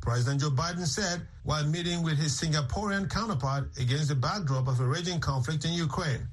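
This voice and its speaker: A man with a fairly high pitch and ordinary pitch variation talks at a fairly quick pace. Noticeable background noise sits behind him. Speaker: radio news anchor. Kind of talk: news reading. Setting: studio.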